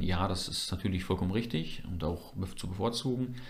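Audible room echo surrounds a man whose very deep, low voice moves at a fairly quick pace with fairly even intonation. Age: 20s. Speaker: church member and media volunteer. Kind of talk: casual interview.

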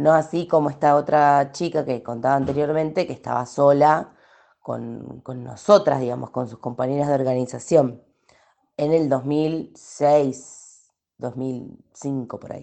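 At a fairly slow pace, a woman with a very deep, low pitch and a dark, mellow tone speaks with fairly even intonation and big swings in loudness. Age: 30s. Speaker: sociologist and activist. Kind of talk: testimony. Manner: halting.

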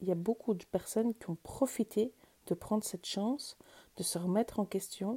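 A woman's dark, mellow, somewhat breathy voice moves at a fairly slow pace with ordinary pitch variation, the sound dry and close with no echo. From Switzerland, canton of Vaud. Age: 40s. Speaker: wellbeing podcaster. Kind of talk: personal storytelling monologue. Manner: hesitant with fillers.

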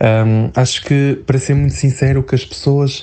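Over noticeable background noise, a man talks at a fairly slow pace and medium pitch with fairly even intonation. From northern Portugal, near Porto. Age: 20s. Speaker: human resources worker. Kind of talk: interview. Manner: hesitant.

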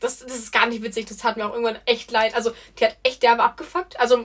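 Talking very fast, a woman uses a fairly high pitch. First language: not German (speaking German). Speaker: podcast co-host. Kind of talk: casual chat.

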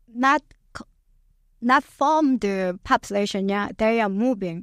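A woman with a Korean accent speaks at a very slow pace in a dry, close sound with no echo, on a very clean recording with a silent background. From South Korea. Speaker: immigrant guest. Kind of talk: radio interview. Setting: studio. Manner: halting.

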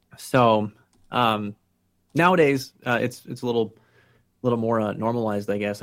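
Fairly even intonation in a Pennsylvania accent. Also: man. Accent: Pennsylvania American. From Pennsylvania, Allentown (Lehigh Valley). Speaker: patient sharing mental health experience. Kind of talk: interview. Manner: halting with frequent fillers.

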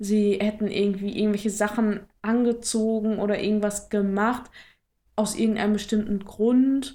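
A woman's dark, mellow voice, fairly high in pitch, at a fairly slow pace and in a monotone, flat delivery. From Ruhr area, western Germany. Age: 20s. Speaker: podcast co-host. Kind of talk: casual chat.

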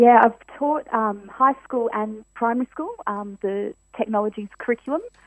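A woman talks at a moderate pace with an Australian accent. Her pitch sits fairly high. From Western Australia, Perth. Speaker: teacher and children's author. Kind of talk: radio interview.

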